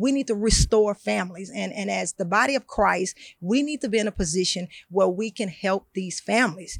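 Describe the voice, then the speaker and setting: A woman at medium pitch with vocal fry, a fairly quick pace and ordinary pitch variation, in a dry, close sound with no echo. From Louisiana, Baton Rouge. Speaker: community advocate. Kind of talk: interview testimony. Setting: event venue. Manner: halting, many fillers and repetitions.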